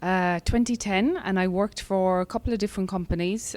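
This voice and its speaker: Someone with an Irish accent speaks at a moderate pace. The pitch varies in an ordinary way. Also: woman. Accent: soft Irish accent, mellowed. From Ireland, West Cork. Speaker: breathwork and fitness specialist. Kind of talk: podcast interview.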